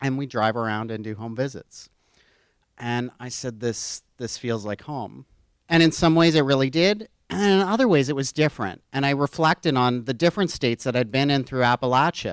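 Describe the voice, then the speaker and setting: In a dry, close recording with no echo, a man with a plain, everyday voice and an American accent talks at a medium pitch and a moderate pace. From western Pennsylvania, Pittsburgh. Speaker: university administrator. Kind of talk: conference speech.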